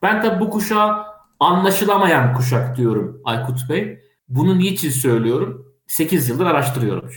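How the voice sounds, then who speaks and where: Somewhat breathy and fairly high-pitched, a man talks at a moderate pace with very wide pitch swings, and room echo is audible. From Turkey, Kastamonu. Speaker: head of an AI policy association and TV tech show moderator. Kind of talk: interview.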